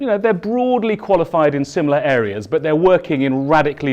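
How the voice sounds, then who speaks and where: A loud man's fairly high voice with very wide pitch swings, in a southern English accent. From southern England, East Sussex. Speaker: keynote speaker. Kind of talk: conference keynote. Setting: stage with audience.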